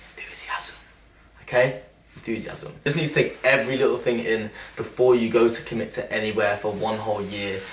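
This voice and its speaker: Through noticeable background noise and audible room echo, a man speaks at a medium pitch. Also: ordinary pitch variation. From England, Leicester. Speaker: YouTuber. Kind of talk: casual vlog talk. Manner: enthusiastic, animated; loud.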